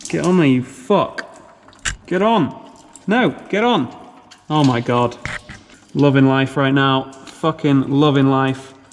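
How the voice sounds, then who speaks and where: Lively intonation from a man with fairly high pitch, at a very slow pace with long, frequent pauses, very even loudness and music in the background. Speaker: car-build YouTuber. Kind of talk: DIY garage vlog. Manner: shouting over engine noise.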